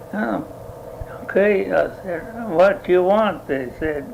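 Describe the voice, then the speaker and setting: Over noticeable background noise, a man talks very slowly at a high pitch with ordinary pitch variation. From Italy. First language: Italian. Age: 80s+. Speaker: dairy farmer. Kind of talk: oral history interview answer.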